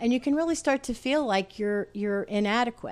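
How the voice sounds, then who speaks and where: A woman speaks. Her pitch swings very widely. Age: 60s. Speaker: retired science writer and running coach. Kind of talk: casual interview chat.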